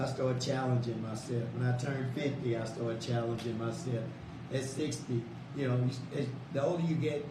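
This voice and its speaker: With an American accent, a man speaks at a fairly quick pace at a medium pitch, his intonation fairly even and his loudness very even. Noticeable background noise and audible room echo surround him. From South Dallas, Texas. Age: 60s. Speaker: radio host. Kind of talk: radio interview.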